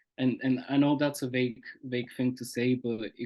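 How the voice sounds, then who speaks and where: A man's flat, monotone delivery in a dark, mellow tone, with a Bulgarian accent, at a moderate pace. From Bulgaria and Austria. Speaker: poet. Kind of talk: interview. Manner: halting, repeats words.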